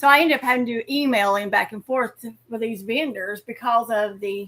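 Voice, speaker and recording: A woman with a Southern US accent speaks in a bright, sharp tone. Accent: Southern US drawl. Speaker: amateur radio operator. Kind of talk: casual chat.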